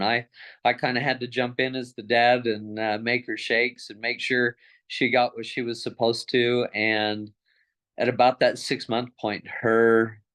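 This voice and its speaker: A man's plain, everyday voice, medium in pitch, with fairly even intonation and a fairly slow pace. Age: 60s. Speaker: customer giving testimony. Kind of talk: testimony.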